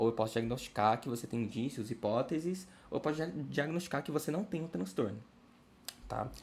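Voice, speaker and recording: Speaking fairly quickly, the man lets his pitch vary in an ordinary way. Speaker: study group instructor. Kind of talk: lecture. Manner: fast.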